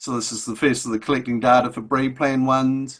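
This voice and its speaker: Against a quiet background, a man at medium pitch speaks with a slight New Zealand accent. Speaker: agricultural extension officer. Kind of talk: webinar introduction. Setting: video call. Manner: hesitant, many fillers.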